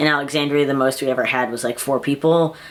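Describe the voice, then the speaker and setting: Noticeable background noise surrounds a man's voice. He speaks at a fairly high pitch with ordinary pitch variation. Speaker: vlogger. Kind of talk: casual vlog monologue. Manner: halting, many fillers.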